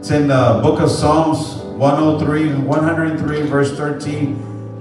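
Clear music plays in the background as a man talks amid audible room echo. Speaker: pastor. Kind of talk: sermon. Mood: warm, celebratory. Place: church.

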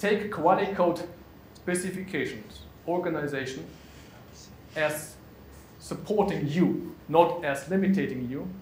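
A man with a German accent speaks at a fairly slow pace in a high pitch, with long, frequent pauses. There is audible room echo and light background noise. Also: ordinary pitch variation. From Germany. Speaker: conference speaker, pretreatment specialist; conference speaker. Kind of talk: conference presentation. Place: meeting room.

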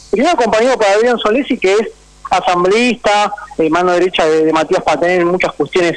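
Amid noticeable background noise, a man with a Rioplatense accent speaks at a very fast pace in a high pitch with ordinary pitch variation. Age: 30s. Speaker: sports journalist. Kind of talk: radio interview. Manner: articulate.

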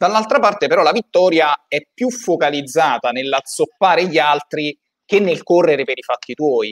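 A man speaks at a moderate pace in a plain, everyday voice, fairly high for a man, with lively intonation against a quiet background. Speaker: podcast co-host. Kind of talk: casual interview. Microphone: video call.

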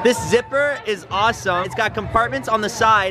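The speaker keeps a moderate pace. Clear music plays in the background, and the sound is dry with no echo. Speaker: convention vlogger. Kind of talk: casual vlog chat. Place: street. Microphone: phone near.

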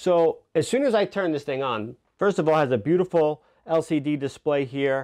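A man talks at a fairly slow pace with lively intonation. The background is quiet. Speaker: product reviewer. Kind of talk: product review talk to camera. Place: studio.

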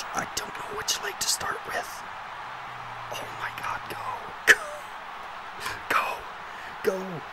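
A man speaks at a very slow pace with long, frequent pauses. Loud background noise runs behind him. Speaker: let's play gamer. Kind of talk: gaming commentary. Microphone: studio mic.

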